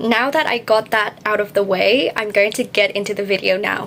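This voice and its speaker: A woman speaks at a moderate pace with fairly high pitch and ordinary pitch variation, over noticeable background noise. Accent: non-native. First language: not English. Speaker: English learning youtuber. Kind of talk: tutorial. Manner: emphatic, repeats key points.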